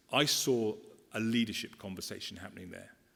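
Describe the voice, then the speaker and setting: On a very clean recording with a silent background, a man with an English accent talks fairly quickly at a medium pitch. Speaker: education official. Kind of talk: conference talk. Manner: fast.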